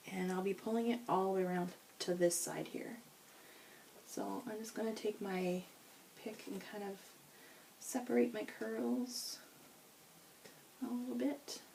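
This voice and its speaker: Pausing long and often, a woman speaks at a medium pitch and a fairly slow pace with very wide pitch swings, noticeable background noise behind her. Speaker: beauty vlogger. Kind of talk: hair tutorial. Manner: casual, self-correcting.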